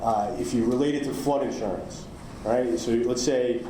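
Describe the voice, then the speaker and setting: A man with a New York accent talks over noticeable background noise, with audible echo from the room. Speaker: cyber insurance underwriter. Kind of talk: conference talk. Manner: halting, many fillers.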